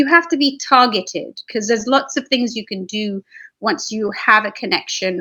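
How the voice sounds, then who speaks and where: Her voice sits fairly high. This woman's intonation moves in a lively way. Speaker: business consultant. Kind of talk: webinar presentation. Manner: fast.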